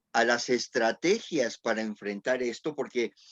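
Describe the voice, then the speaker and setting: A man's voice with very wide swings in pitch. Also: dry, close sound with no echo. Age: 70s. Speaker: panel moderator. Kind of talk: panel discussion. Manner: halting.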